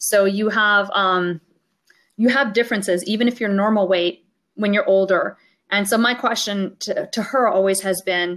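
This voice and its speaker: A woman with a plain, everyday voice speaks at medium pitch and a moderate pace, with very even loudness and fairly even intonation. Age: 50s. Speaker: mathematics professor. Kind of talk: interview.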